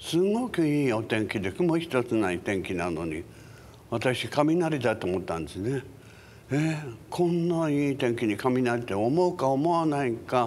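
With very wide pitch swings, a man talks at a fairly slow pace. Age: 80s+. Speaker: singer and actor. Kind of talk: interview answer. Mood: calm, reflective storytelling. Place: hall.

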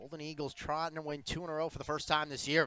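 The voice has a bright, sharp and energetic tone, with a dry, close sound and no echo. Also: man. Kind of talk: live sports commentary. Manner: energetic, emphatic on big plays.

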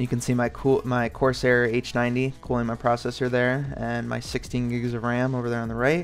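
A man speaks at a moderate pace in a monotone, flat intonation. Faint music plays in the background. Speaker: PC gaming vlogger. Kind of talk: casual talk to camera. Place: home room. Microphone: phone near.

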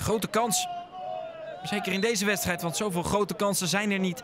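Over noticeable background noise, a man with high pitch speaks at a moderate pace. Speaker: football commentator. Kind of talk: live sports commentary, match highlights voice-over. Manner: matter-of-fact, steady play-by-play, describing action as it happens.

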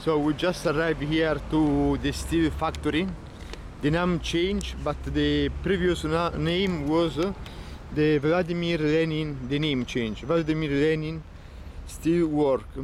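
A man speaks at a fairly slow pace with an Italian accent, his loudness very even. The sound is dry with no echo, over light background noise. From Italy. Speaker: travel vlogger. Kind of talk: vlog walking tour narration. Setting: outdoors walking around city. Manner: halting, hesitant non-native phrasing. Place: street. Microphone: phone near.

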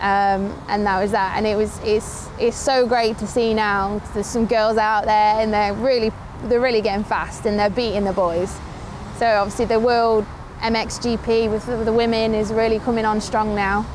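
A woman speaks at a moderate pace in a fairly high voice, her loudness very even and her intonation flat and monotone. Noticeable background noise runs under the clip. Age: 20s. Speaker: motorcycle racer and motorsports TV presenter. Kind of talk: casual vlog talk to camera. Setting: outdoors at a race track. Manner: halting, many fillers and repeated words.

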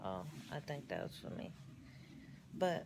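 Noticeable background noise sits behind a woman whose delivery holds a moderate pace. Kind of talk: casual vlog chat. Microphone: phone near.

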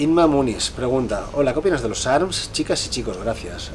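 A man talks with ordinary variation in pitch, light noise sounding in the background. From Spain, Bilbao (Basque Country). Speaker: fitness youtuber and professional bodybuilder. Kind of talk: casual Q&A vlog. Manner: casual, filler-heavy (¿vale?, eh). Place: home room. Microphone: camera far.

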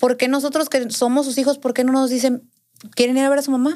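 A woman with a high pitch and a dark, mellow tone speaks against a quiet background. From Sinaloa, Mexico (Navolato); Sinaloa, Mexico. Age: 20s. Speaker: podcast guest. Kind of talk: casual interview, personal story. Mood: earnest, recounting painful family story. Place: studio. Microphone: studio mic.

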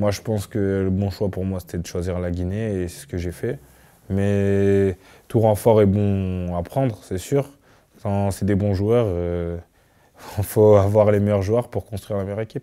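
A dark, mellow tone with fairly even intonation, a fairly slow pace, and a quiet background. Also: man, fairly low pitch for a man. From France, Clermont-Ferrand; France. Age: 20s. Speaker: professional footballer. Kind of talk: interview. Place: studio. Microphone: lapel.

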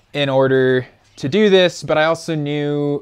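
Male speech with ordinary pitch variation. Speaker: vehicle DIY vlogger. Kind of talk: casual vlog chat. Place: garage.

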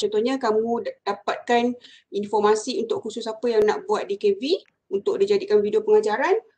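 A woman with a normal speaking voice talks at a fairly quick pace, with fairly high pitch and lively intonation. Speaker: university lecturer. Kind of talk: lecture. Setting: video call.

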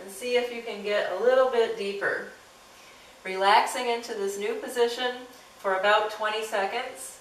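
A woman talks with fairly even intonation and long, frequent pauses, with audible room echo and light background noise. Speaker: martial arts instructor. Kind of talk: tutorial. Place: home room. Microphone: camera far.

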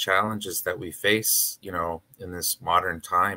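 With fairly even intonation, a man speaks in a bright, sharp tone. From northern Manitoba, Canada (Cree First Nation). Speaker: panelist. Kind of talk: online panel discussion. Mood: earnest, reflective. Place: home room.

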